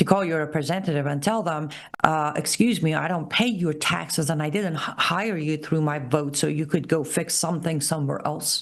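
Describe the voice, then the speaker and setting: A passionate woman's voice, very deep and low, with vocal fry at a moderate pace. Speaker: political commentator and show host. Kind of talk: live solo commentary show. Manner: emphatic, passionate.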